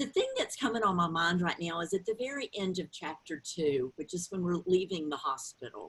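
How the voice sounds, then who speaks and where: A woman with a strong Southern US accent talks with lively intonation. Her pitch is fairly low. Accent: thick Southern drawl. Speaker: author and grief counselor. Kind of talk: interview.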